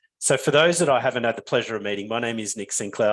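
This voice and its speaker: The man has an Australian accent and a fairly low pitch, heard against a quiet background. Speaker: business founder and webinar presenter. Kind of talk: webinar presentation.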